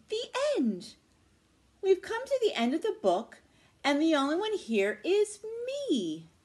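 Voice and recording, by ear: A woman performs a put-on character voice at an extremely high pitch, with very wide pitch swings, a dark, mellow tone and a slow pace.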